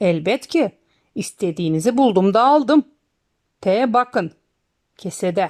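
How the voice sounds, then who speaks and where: Putting on a character voice, a woman speaks at a medium pitch and fairly slow pace with lively intonation and long, frequent pauses, the sound dry and close with no echo. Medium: read story. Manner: sly, good-humored.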